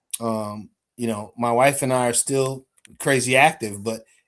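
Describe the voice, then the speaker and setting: This man has a medium-pitched voice whose pitch varies in an ordinary way. It is a normal speaking voice. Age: 60s. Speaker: show host, military veteran. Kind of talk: casual group discussion.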